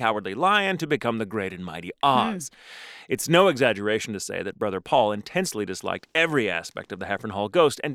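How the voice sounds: This is a natural reading voice. It carries through the clip.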